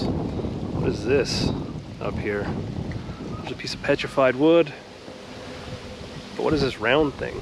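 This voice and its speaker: A man speaks with ordinary pitch variation and long, frequent pauses. The sound is dry with no echo, though loud background noise is present. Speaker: travel vlogger. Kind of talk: casual vlog commentary. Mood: curious, relaxed. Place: street. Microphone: phone near.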